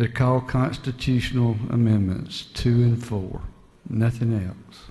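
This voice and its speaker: A man at a medium pitch and fairly slow pace, with fairly even intonation and a Southern US accent. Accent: Southern US (Georgia). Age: 60s. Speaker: state legislator. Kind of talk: floor speech in legislative debate. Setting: legislative chamber.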